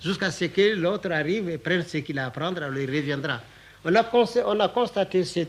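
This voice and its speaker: At a moderate pace, a man talks with ordinary pitch variation. He has a normal speaking voice. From Mali. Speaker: writer and storyteller. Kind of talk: interview answer.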